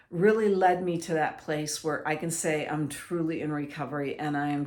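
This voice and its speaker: Her pitch sits very deep and low for a woman. The room adds an audible echo. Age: 60s. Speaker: mental health speaker. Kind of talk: personal testimony. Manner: halting.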